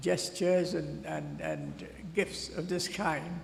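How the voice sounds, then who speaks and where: A man speaking at a very slow pace, with audible room echo. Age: 80s+. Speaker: honoree speaking at school graduation. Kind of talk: ceremonial speech. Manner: halting.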